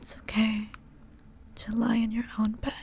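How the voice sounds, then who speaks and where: Soft-spoken and gentle in tone, a woman talks at a very slow pace with a fairly high pitch and monotone, flat intonation over noticeable background noise. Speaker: ASMR creator. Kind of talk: comfort roleplay ASMR, sleep aid. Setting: close-mic headphone ASMR. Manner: soft, gentle, slow.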